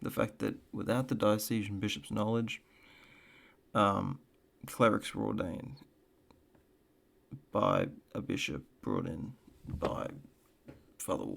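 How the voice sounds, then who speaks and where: A quiet man with a fairly low pitch and vocal fry, lively in intonation, at a fairly slow pace with long, frequent pauses. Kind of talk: casual reaction commentary. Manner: quiet, low-energy.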